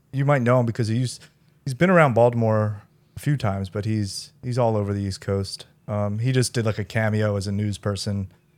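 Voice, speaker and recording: In a very clean recording with a silent background, a man with an American accent uses an ordinary speaking voice, fairly low in pitch and with fairly even intonation. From US Northeast, Philadelphia. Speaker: comedian. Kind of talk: casual chat.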